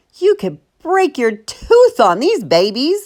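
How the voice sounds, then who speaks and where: A woman puts on a character voice, pitched high and swinging very widely, while talking at a fairly slow pace. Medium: read story.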